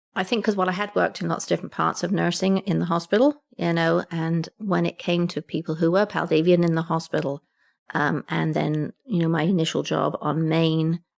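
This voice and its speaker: With an English accent, a woman speaks at a fairly low pitch and with fairly even intonation. The sound is dry and close with no echo, and the recording is very clean over a silent background. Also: fairly quick pace. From England. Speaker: retired community nurse. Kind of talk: interview answer.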